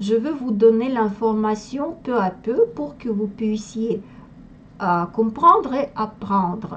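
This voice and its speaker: A woman's fairly high voice in a Russian accent, with lively intonation at a very slow pace over noticeable background noise. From Russia, Moscow. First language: Russian (speaking French). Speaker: language teacher. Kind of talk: tutorial. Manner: halting, with hesitations.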